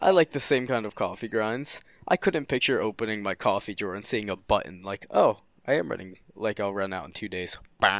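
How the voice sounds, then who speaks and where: In a very clean recording with a silent background, a man speaks at a moderate pace. He has an ordinary speaking voice with a fairly low pitch. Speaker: podcast co-host. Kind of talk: casual chat.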